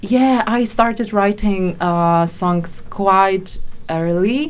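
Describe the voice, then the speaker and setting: With a Polish accent, a woman of medium pitch speaks at a very slow pace. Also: ordinary pitch variation. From Poland. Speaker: singer-songwriter. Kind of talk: interview. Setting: studio. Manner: halting.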